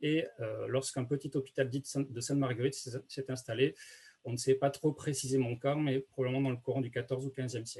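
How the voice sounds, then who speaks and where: A man's somewhat breathy, medium-pitched voice at a fairly quick pace, in a monotone, flat intonation. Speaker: archaeologist. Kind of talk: lecture. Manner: fast; many hesitations.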